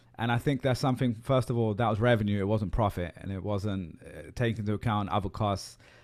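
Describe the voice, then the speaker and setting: The speech comes at a very fast pace with hardly any pauses. It is in a British accent, with ordinary pitch variation. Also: man, fairly low pitch for a man. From UK. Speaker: podcast host. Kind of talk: podcast interview.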